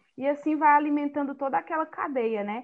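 Her voice high in pitch, a woman talks with lively intonation. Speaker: podcast host, journalist. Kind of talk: casual chat.

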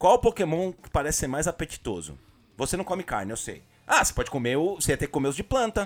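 Over background music, a man with a fairly high pitch speaks at a fairly quick pace, his pitch swinging very widely. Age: 30s. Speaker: podcast co-host. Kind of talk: casual chat.

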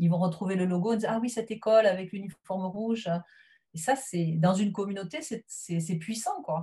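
A woman's voice comes through somewhat breathy with a dark, mellow tone. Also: medium pitch for a woman, ordinary pitch variation, moderate pace. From southwest France. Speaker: teacher. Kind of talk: interview. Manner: hesitant.

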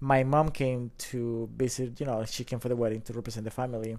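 A man with a Colombian accent talks at a fairly quick pace in a dark, mellow tone. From Colombia, Bogota. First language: Spanish. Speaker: drone photographer and videographer. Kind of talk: casual interview. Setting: in-person studio.

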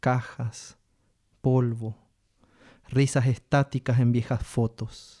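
The somewhat breathy voice has a dark, mellow tone and a monotone, flat intonation, moving at a very slow pace with long, frequent pauses in a dry, close sound with no echo. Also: man, medium pitch for a man. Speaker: poetry reader. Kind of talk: reading poetry aloud in Spanish, solemn and measured. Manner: slow, deliberate, expressive.

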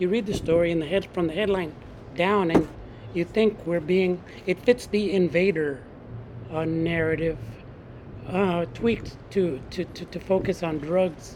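Fairly slowly and with long, frequent pauses, a man with a high pitch and ordinary pitch variation talks over noticeable background noise. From San Francisco, Mission District. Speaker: journalist and author. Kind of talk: interview.

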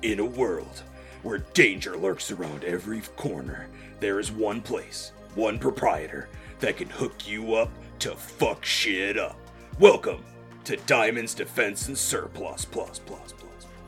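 Fairly slow delivery in a put-on character voice from a man, clear music behind it. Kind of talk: dramatic trailer narration.

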